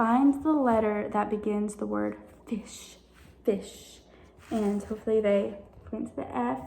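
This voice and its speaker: At a fairly slow pace, a woman speaks in a somewhat breathy voice with audible room echo. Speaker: teacher. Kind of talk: tutorial. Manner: casual, with fillers.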